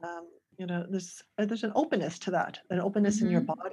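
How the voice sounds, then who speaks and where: Ordinary pitch variation runs through this voice. It sounds somewhat breathy. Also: woman. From Canada, near Toronto. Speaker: ESL teacher and teacher trainer. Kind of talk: casual interview.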